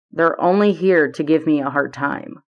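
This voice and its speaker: A woman's put-on character voice, raspy and rumbling, at a fairly low pitch and moderate pace. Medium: read story. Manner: easygoing, teasing.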